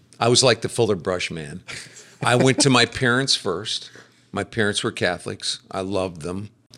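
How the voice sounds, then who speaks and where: In a normal speaking voice, a man talks at a moderate pace with an American accent. His pitch is fairly low, with ordinary pitch variation. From US Midwest. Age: 60s. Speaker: businessman and speaker. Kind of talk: casual interview, testimony. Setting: office building.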